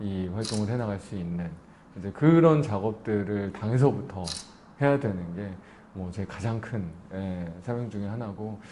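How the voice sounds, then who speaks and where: A normal speaking voice, male, fairly low pitched, moderate in pace. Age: 30s. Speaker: politician, newly elected member of parliament. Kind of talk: interview answer.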